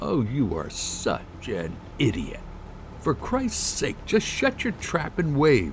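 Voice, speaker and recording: A man growls through a put-on character voice. He goes at a fairly slow pace with clear background noise. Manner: disgusted, snarling.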